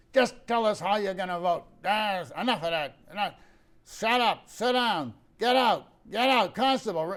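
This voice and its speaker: A man puts on a gruff, high-pitched character voice, speaking at a moderate pace with ordinary pitch variation. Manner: curt, bossy.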